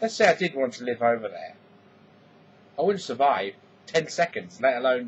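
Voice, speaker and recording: Against noticeable background noise, a man with an English accent talks at a moderate pace and medium pitch, using lively intonation. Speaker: vlogger. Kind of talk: casual vlog monologue.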